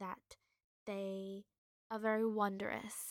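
With an Australian accent, a woman speaks at medium pitch and a fairly slow pace. Her intonation is fairly even, and the sound is dry and close, with no echo. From Australia, Queensland. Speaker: wildlife podcast host. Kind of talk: solo educational talk.

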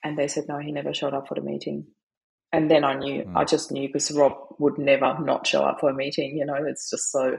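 Talking at a very fast pace, a woman with a very deep, low pitch speaks in a monotone, flat intonation with vocal fry. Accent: German. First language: German. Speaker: grief coach, widow. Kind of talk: interview. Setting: remote call.

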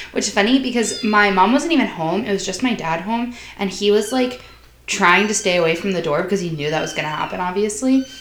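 Against noticeable background noise, a woman talks at a very fast pace with lively intonation. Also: medium pitch for a woman. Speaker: college student. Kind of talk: casual chat.

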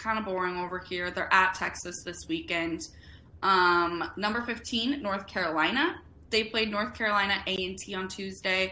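A woman with a bright, sharp tone speaks at medium pitch and a moderate pace, using ordinary pitch variation. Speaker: college baseball podcast host. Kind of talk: casual chat.

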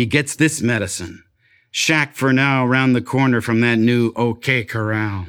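Speaking at a fairly slow pace, a man keeps a medium pitch with ordinary pitch variation and very even loudness, on a very clean recording with a silent background. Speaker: poet. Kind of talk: poetry performance. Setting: restaurant with live audience. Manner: terse, stark.

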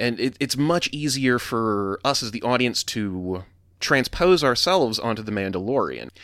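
Medium-pitched male voice in an American accent, with lively intonation and a moderate pace, on a very clean recording with a silent background. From US South. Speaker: podcast host. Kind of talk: solo commentary monologue. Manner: halting, frequent repetitions and fillers.

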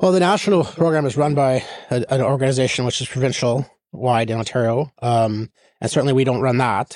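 A man at a medium pitch with a Canadian Prairies accent, speaking at a fairly quick pace with ordinary pitch variation. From northern Saskatchewan, Canada. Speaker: tech investor and executive. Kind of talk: interview. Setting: studio. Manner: halting, repeats words.

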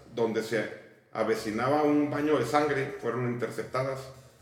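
A man talks at a moderate pace and medium pitch, with ordinary pitch variation. Music plays in the background and the room echo is audible. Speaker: podcast host. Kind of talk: casual chat; history narration read aloud.

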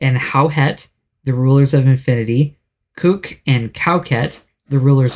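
A man speaks at a fairly slow pace, his pitch medium. He has a plain, everyday voice with fairly even intonation. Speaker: podcast host. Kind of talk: casual, jokey.

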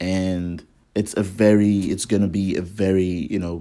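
On a very clean recording with a silent background, a man speaks fairly slowly in a very deep, low pitch. His tone is dark and mellow, and his intonation is monotone and flat. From Nigeria. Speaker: podcast host. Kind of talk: podcast introduction monologue. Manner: halting, many fillers.

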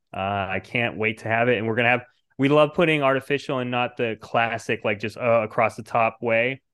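Using a normal speaking voice, a man talks at a fairly quick pace with medium pitch and fairly even intonation. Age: 30s. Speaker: comic book writer and publisher. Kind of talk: casual chat.

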